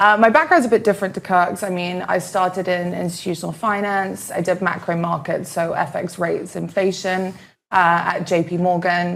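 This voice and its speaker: With a British accent, a woman speaks at a moderate pace in a medium pitch with fairly even intonation. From London, England. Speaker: finance expert co-host. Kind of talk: casual panel chat.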